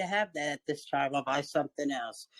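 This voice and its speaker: A woman with an ordinary speaking voice talks at a moderate pace with ordinary pitch variation, in a dry, close sound with no echo. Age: 60s. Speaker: workshop participant. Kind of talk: casual chat.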